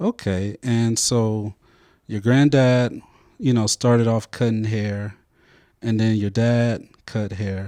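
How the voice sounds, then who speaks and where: Speaking very slowly with long, frequent pauses, a man with a medium pitch and a dark, mellow tone keeps his intonation fairly even, his voice dry and close with no echo against a quiet background. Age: 30s. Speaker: podcast host. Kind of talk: interview.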